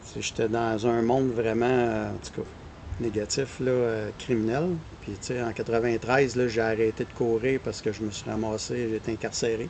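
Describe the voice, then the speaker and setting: Talking at a moderate pace in a Quebec accent, a man keeps a medium pitch and a monotone, flat intonation, with big swings in loudness. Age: 60s. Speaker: runner. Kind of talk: podcast interview.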